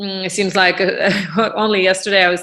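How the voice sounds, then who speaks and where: Against a quiet background, a woman with a Russian accent speaks at a medium pitch in a bright, sharp tone. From Russia, Moscow suburb. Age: 40s. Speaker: real estate business owner. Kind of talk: podcast interview. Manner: hesitant, many fillers.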